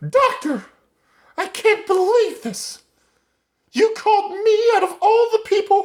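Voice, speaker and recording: A man's put-on character voice, squeaky and extremely high-pitched, at a fairly slow pace with long, frequent pauses. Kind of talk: 1950s receptionist parody. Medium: comedy sketch. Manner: prim, fussy.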